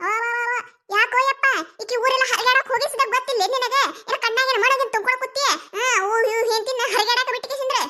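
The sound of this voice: A cartoonish character voice speaks at a fairly quick pace in a flat, monotone delivery. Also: woman, extremely high pitch for a woman.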